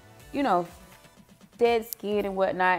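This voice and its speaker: A woman speaks at a moderate pace over faint background music. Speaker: beauty vlogger. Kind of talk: skincare tutorial. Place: bathroom. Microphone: phone near.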